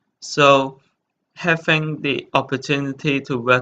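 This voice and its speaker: A man with a Chinese accent, bright and sharp in tone, at a very slow pace. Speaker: hotel intern. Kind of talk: presentation. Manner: halting, many fillers.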